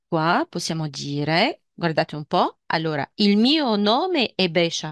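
With a Tunisian accent, a woman speaks at a fairly low pitch and a very slow pace. The sound is dry and close with no echo, over a quiet background. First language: Tunisian Arabic (speaking Italian). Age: 40s. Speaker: language teacher. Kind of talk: lecture.

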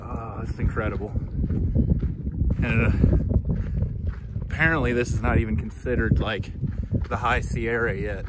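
A man talks at a medium pitch and a fairly slow pace, with long, frequent pauses. His intonation stays fairly even over clear background noise.

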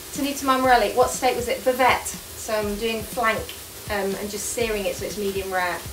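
At a fairly quick clip, a woman talks while noticeable noise carries on behind her. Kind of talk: casual cooking chat to a live audience. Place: kitchen.

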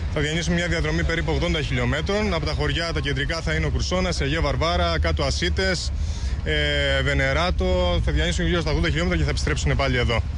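A man with a very deep, low pitch speaks at a fairly quick pace with ordinary pitch variation and very even loudness, the sound dry with no echo despite noticeable background noise. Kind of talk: interview answer. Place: street. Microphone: handheld.

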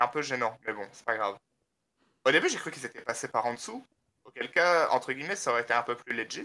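A man at a very fast pace, medium in pitch with ordinary pitch variation, a bright, sharp tone, big swings in loudness and long, frequent pauses. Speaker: gamer. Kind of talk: casual chat.

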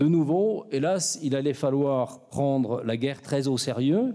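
A man speaks at a fairly slow pace in a fairly high voice with a dark, mellow tone. The background is quiet. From France. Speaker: academic chair director. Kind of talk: formal speech. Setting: lecture hall with audience. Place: hall. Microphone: podium.

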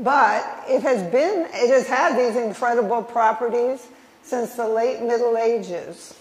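A woman with an American accent, high-pitched, at a fairly slow pace, with ordinary pitch variation and audible room echo. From Minnesota. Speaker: historian. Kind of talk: lecture. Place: hall. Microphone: podium.

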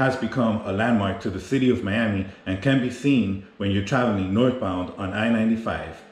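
The voice moves at a moderate pace with hardly any pauses and ordinary pitch variation, set in audible room echo. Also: man. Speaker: travel vlogger. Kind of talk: tour-guide commentary. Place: street. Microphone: phone near.

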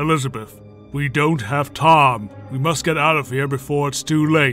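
Clear music plays behind a man who speaks at a moderate pace in a fairly high pitch with fairly even intonation. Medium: machinima. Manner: insidious, urging.

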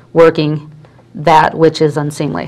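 A woman talks at a moderate pace. Her pitch is fairly low and her intonation is monotone and flat. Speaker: talk show host. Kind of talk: interview conversation and scripture reading. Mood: earnest, conversational. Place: studio. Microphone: lapel.

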